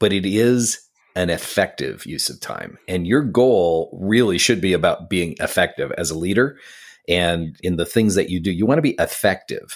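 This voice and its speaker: This is an ordinary speaking voice: a man with an American accent, fairly low in pitch, at a moderate pace with ordinary pitch variation. The recording is very clean, with a silent background. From upstate New York (Syracuse). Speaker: podcast co-host and coach. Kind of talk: casual chat.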